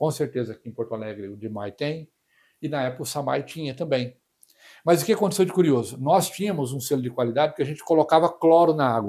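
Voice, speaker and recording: A man at a very fast pace, fairly high-pitched, with lively intonation and big swings in loudness, on a very clean recording with a silent background. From northern Paraná, Brazil. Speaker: water treatment specialist. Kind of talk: interview. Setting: live stream.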